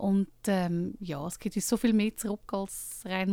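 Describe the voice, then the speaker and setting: A woman's ordinary speaking voice, medium in pitch, at a fairly slow pace with fairly even intonation. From Switzerland, Lucerne. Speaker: book co-author and dinner event host. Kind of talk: radio interview.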